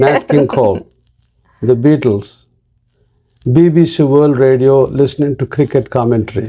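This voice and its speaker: With a Telugu accent, a man speaks at a moderate pace and medium pitch, with ordinary pitch variation, very even loudness and long, frequent pauses. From India (Andhra Pradesh). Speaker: pediatric neurologist. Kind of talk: interview.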